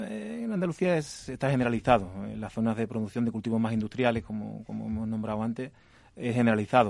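Very fast in pace, a man's medium-pitched voice shows ordinary pitch variation. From Andalusia, Spain. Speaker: agricultural engineer. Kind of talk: radio interview.

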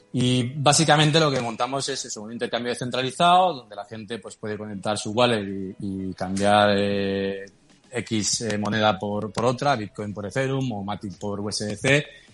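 This man has a plain, everyday voice, fairly low in pitch with ordinary pitch variation, at a moderate pace. His loudness swings widely, and he hardly pauses at all. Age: 40s. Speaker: crypto startup founder. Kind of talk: interview.

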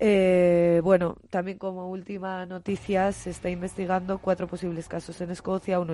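A woman with a medium pitch and a dark, mellow tone speaks at a moderate pace with hardly any pauses. Her intonation is monotone and flat. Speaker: science radio co-host. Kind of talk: news reading.

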